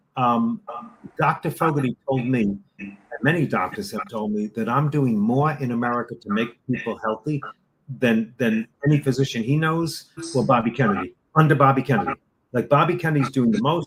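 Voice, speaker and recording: Ordinary pitch variation marks this somewhat breathy voice. The pace runs fairly quick. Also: man, medium pitch for a man. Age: 60s. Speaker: supplement distributor. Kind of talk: interview. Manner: animated.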